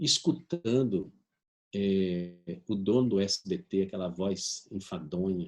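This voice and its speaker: Speaking at a very slow pace, a man with a fairly low pitch shows ordinary pitch variation. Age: 60s. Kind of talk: video conference talk. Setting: video conference. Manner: animated.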